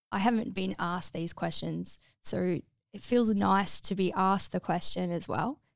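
A woman with an Australian accent speaks at a moderate pace and a medium pitch. The recording is very clean, with a silent background. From Melbourne, Mornington Peninsula, Australia. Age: 40s. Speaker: navy veteran, former medic. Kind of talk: interview testimony. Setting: studio.

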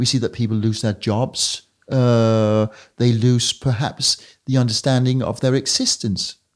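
The voice, in a Danish accent, moves at a fairly slow pace with flat, monotone intonation. The recording is very clean, with a silent background. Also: man, medium pitch for a man. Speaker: podcast host. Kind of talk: interview.

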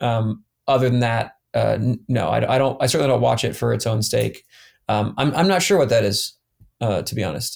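A man with an American accent talks at a fairly quick pace in a very clean recording with a silent background. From US South, Atlanta. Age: 30s. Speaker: former pro cyclist. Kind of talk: casual chat.

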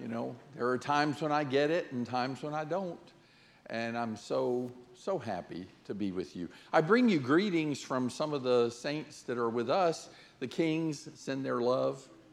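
Audible room echo surrounds a man speaking at a fairly slow pace and medium pitch, his intonation lively. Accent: American. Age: 60s. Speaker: visiting preacher. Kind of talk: sermon.

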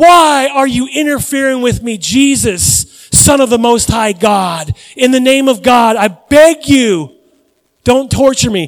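Shouting in a put-on character voice, a man sounds shrill and extremely high-pitched. He goes at a fairly slow pace. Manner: screaming, tormented.

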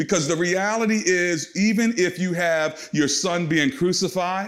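There is audible room echo around the man's voice. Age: 50s. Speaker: pastor. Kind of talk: sermon. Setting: recorded at home for online church.

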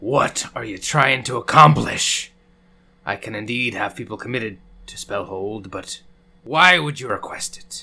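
Using a put-on character voice, a man sounds raspy at a medium pitch and keeps a moderate pace. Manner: irritated, exasperated.

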